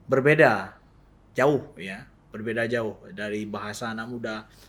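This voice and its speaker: At a moderate pace and with fairly even intonation, a man speaks with audible room echo. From Aceh, Indonesia. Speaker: Islamic preacher. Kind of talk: podcast interview. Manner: halting, many fillers.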